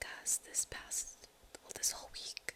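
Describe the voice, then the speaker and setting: Background noise is noticeable here. Through it, a woman whispers. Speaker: medical trainee in surgical rotation. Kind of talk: ASMR whispered life update, casual talk to camera. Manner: whispered, soft-spoken.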